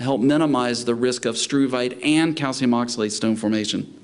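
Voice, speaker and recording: The speaker has an American accent and ordinary pitch variation. The pace is fairly slow, with audible room echo. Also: man. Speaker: veterinary specialist lecturer. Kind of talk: lecture. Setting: conference talk with live interpreters.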